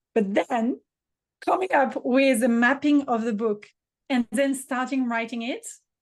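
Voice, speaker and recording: A woman's high-pitched voice with a French accent and ordinary pitch variation, over a quiet background. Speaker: business mentor and author. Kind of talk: podcast interview.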